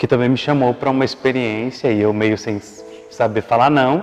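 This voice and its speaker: There is noticeable background noise as a man talks at a moderate pace with fairly even intonation. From Brazil, Mato Grosso do Sul. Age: 20s. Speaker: seminarian. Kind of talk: testimony.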